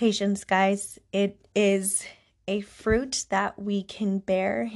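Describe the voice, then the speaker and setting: A woman at medium pitch with monotone, flat intonation, over a quiet background. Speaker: podcast host. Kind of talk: faith-based personal storytelling monologue. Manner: casual, conversational with fillers.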